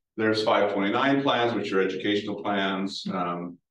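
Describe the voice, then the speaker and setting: A man with a normal speaking voice, ordinary pitch variation and a moderate pace. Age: 60s. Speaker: retired banking executive. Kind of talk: talk with audience Q&A.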